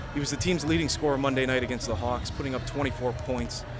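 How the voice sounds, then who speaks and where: Music plays in the background. A man with a medium pitch talks at a very fast pace. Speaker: sports anchor and reporter. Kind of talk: live sports analyst interview answer. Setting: remote live hit from an arena.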